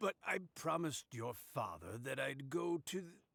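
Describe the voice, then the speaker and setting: In a raspy, warm put-on character voice with very wide pitch swings, the speaker goes at a moderate pace, and the sound is dry and close with no echo. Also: man, fairly high pitch for a man. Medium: video game. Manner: warm, chuckling.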